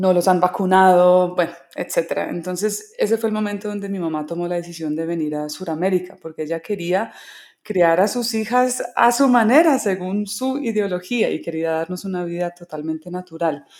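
A woman speaks with a slight non-native accent at a moderate pace. Her medium-pitched voice shows ordinary pitch variation. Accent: slight foreign. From Colombia, rural (Caquetá, Tolima, Huila). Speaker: singer-songwriter. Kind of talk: interview testimony. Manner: halting, repeated words.

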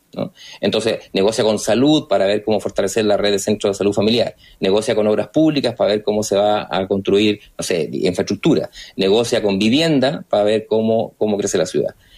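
A man speaks at a fairly quick pace in a fairly low pitch, with ordinary pitch variation and very even loudness. The recording is very clean, against a silent background. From Chile, Rancagua. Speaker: politician, sociologist. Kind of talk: radio interview. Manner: halting.

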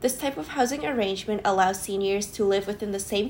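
This woman has a normal speaking voice at a medium pitch, with ordinary pitch variation and a fairly quick pace. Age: 20s. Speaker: podcast co-host, planning student. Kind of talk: casual chat with read-out research.

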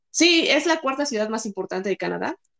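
In a Mexican accent, a woman speaks at a moderate pace with a dry, close sound and no echo. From Mexico. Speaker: engineer. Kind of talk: casual chat.

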